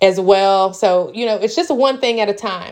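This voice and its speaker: A woman speaks with a Tennessee accent and a medium pitch. Her pace is moderate, with ordinary pitch variation. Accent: Southern US (Tennessee). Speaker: small farmer and entrepreneur. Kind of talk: casual vlog monologue.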